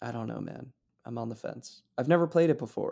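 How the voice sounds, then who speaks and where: A man with a dark, mellow tone and vocal fry talks fairly quickly in a very clean recording with a silent background. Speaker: podcast co-host. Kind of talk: casual chat.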